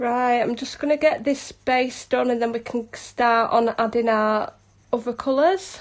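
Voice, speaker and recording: A woman's high voice moves at a fairly slow pace, its pitch varying in an ordinary way. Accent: Yorkshire. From South Yorkshire, England. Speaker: hobby colouring artist. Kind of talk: live stream tutorial. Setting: live stream. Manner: casual, chatty.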